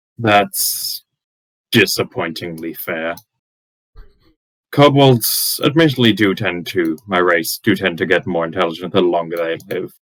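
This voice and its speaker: In a put-on character voice with a very deep, low pitch, a man speaks with long, frequent pauses. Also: moderate pace. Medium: actual play. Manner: polite, wry, measured.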